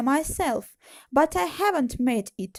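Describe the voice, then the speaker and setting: With a Russian accent, a woman talks at a fairly slow pace, her pitch swinging very widely, in a dry, close sound with no echo. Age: 20s. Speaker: origami tutorial creator. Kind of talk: personal story monologue.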